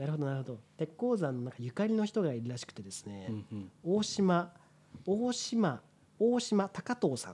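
A high-pitched man's voice with a dark, mellow tone, very wide pitch swings and big swings in loudness. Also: moderate pace. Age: 30s. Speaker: podcast co-host. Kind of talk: casual chat.

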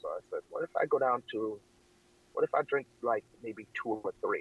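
A man with an American accent speaks at a moderate pace in a dry, close sound with no echo. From Massachusetts, Boston suburb (family from Jamaica). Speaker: weight-loss runner. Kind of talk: casual chat.

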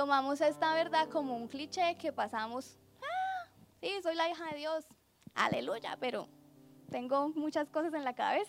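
At a fairly slow pace and with long, frequent pauses, a woman speaks in a high pitch with ordinary variation. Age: 20s. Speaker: preacher. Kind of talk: sermon.

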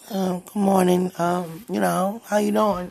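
A quiet woman's voice at a medium pitch. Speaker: preacher. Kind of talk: spontaneous prophetic address to listeners. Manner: halting.

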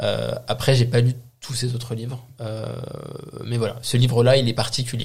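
A man of medium pitch speaks at a moderate pace in a monotone, flat intonation, with long, frequent pauses. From France, Moroccan heritage. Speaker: podcast co-host. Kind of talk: casual chat.

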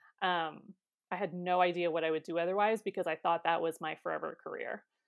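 A fairly low-pitched woman's voice on a very clean recording with a silent background. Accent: American. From Ohio, US. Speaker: copywriter. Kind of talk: interview.

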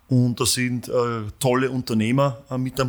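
On a very clean recording with a silent background, a man speaks at medium pitch in a monotone, flat intonation. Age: 40s. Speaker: company founder and CEO. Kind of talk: interview. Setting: studio. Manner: halting, many fillers.

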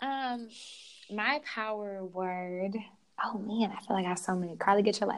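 With an American accent, a woman speaks at a medium pitch and a moderate pace with ordinary pitch variation, against noticeable background noise. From Oklahoma. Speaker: youth educator and wellness teacher. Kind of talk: casual interview chat.

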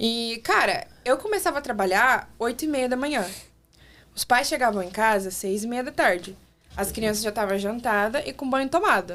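An unremarkable speaking voice belongs to this woman, pitched fairly high. She talks at a moderate pace with lively intonation. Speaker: former au pair. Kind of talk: casual chat. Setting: studio.

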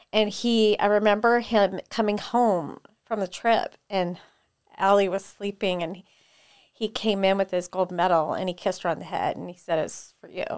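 A woman speaks in a plain, everyday voice at medium pitch and a moderate pace. Her loudness swings widely. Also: fairly even intonation. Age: 40s. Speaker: jiu-jitsu academy co-owner and fitness coach. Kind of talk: casual interview chat.

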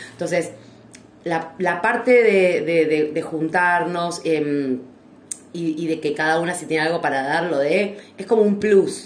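A woman speaks at a fairly slow pace in a fairly low pitch. Noticeable background noise and audible room echo are present. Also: ordinary pitch variation. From Argentina. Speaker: podcast co-host. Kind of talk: casual chat. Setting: live stream recording.

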